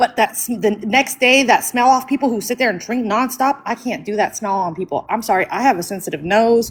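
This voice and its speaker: A woman with a plain, everyday voice, fairly high in pitch, at a fairly quick pace with hardly any pauses and ordinary pitch variation. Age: 40s. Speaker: livestream host. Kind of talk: casual chat.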